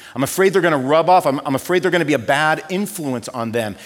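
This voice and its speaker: A man talking at a fairly quick pace with lively intonation, noticeable background noise behind him. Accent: American. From Southern California. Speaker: pastor. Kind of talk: sermon. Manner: animated.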